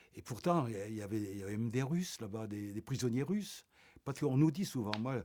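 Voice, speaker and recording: A man talks at a fairly quick pace with a medium pitch. His tone is dark and mellow. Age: 80s+. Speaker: Holocaust survivor. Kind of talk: interview testimony. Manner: halting, many repetitions.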